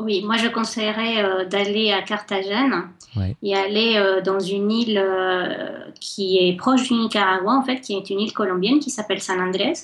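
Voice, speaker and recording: A woman's medium-pitched voice, moderate in pace with fairly even intonation, amid noticeable background noise. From Colombia, Cali. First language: Spanish (speaking French). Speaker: guest. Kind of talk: radio interview.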